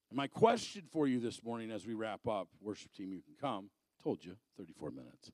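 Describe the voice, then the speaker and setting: With an American accent, a man speaks at a moderate pace in a medium pitch with lively intonation, the sound dry and close with no echo. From Arizona. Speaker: evangelist and motivational speaker. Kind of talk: sermon. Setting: church. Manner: animated.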